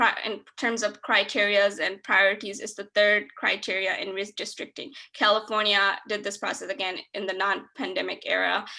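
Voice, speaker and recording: A woman's medium-pitched voice with a non-native accent, fairly even intonation, and a moderate pace. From Detroit, Michigan. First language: not English. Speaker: nonprofit executive director. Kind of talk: webinar presentation and Q&A.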